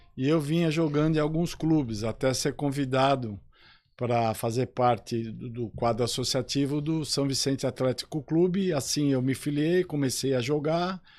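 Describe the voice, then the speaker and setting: A man with an unremarkable speaking voice at a fairly high pitch, ordinary pitch variation and a moderate pace, on a very clean recording with a silent background. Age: 60s. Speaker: police chief and sports club councillor. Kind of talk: radio interview.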